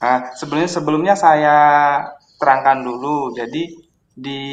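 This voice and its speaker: At a moderate pace, a man with a Javanese accent speaks in a fairly high pitch and fairly even intonation. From East Java (Kediri). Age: 30s. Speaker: caller, civil servant. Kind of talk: call-in consultation. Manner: halting.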